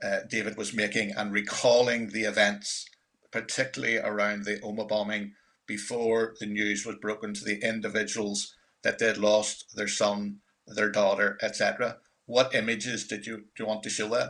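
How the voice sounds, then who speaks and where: In a very clean recording with a silent background, a man with a Northern Irish accent talks at a moderate pace, with a fairly low pitch, a bright, sharp tone and monotone, flat intonation. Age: 60s. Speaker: filmmaker. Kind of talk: panel discussion.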